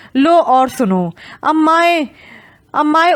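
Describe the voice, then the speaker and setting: The speaker is a woman. She talks with lively intonation. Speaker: audiobook narrator. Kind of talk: audio drama novel narration.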